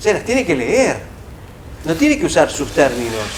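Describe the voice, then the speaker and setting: A man with a Rioplatense accent and very wide pitch swings, amid audible room echo and noticeable background noise. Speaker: professor. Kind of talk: lecture.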